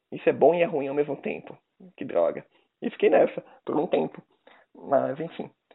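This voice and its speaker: A man's speech, at a moderate speed, is broken by long, frequent pauses. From Brazil, countryside. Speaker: podcast host. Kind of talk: casual chat. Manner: laughing often.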